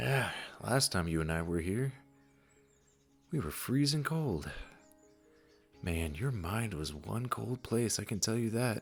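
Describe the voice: Faint music plays behind a put-on character voice with vocal fry and a slightly husky edge, delivered at a slow pace with long, frequent pauses. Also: man, fairly low pitch for a man, lively intonation.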